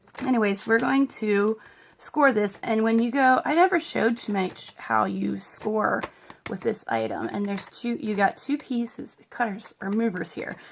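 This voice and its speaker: The voice moves at a moderate pace with ordinary pitch variation, and noticeable background noise is present. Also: woman, fairly high pitch for a woman. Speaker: crafting tutorial creator. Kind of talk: tutorial.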